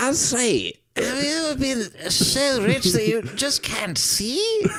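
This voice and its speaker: Someone speaks in a put-on character voice. The pace is fairly slow. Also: female-sounding voice, high pitch for a woman. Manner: pompous.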